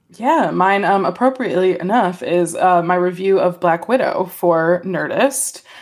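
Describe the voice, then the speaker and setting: A woman speaks at medium pitch and a fairly slow pace. Noticeable background noise runs underneath. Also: ordinary pitch variation, hardly any pauses. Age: 30s. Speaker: film critic. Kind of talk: casual chat.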